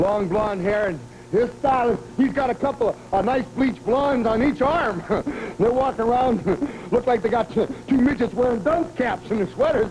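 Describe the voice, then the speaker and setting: An extremely high-pitched man's voice at a moderate pace, with noticeable background noise. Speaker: professional wrestler. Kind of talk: wrestling promo. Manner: brash, boastful.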